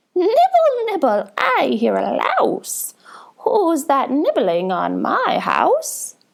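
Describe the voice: A woman speaks in a put-on character voice, shrill and high-pitched. Her pace is very slow.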